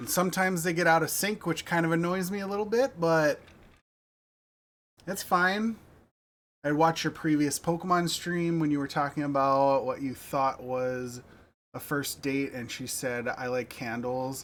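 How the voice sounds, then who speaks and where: Here is a man with an American accent in an ordinary speaking voice, his pitch fairly high with ordinary variation. He talks at a moderate pace on a very clean recording with a silent background. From United States. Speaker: game streamer. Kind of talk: casual livestream chat.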